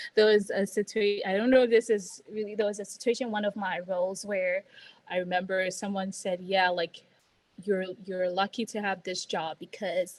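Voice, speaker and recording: A woman speaks at a moderate pace in a non-native accent, her pitch medium. Her intonation stays flat and monotone. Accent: noticeable non-native. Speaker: healthcare strategy consultant. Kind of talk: casual career advice chat. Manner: hesitant with many fillers and restarts.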